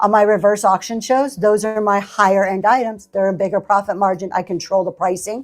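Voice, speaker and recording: With an ordinary speaking voice, a woman talks at a fairly quick pace and medium pitch with fairly even intonation. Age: 60s. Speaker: online live-auction seller. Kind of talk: live selling stream with chat. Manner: conversational, chatty.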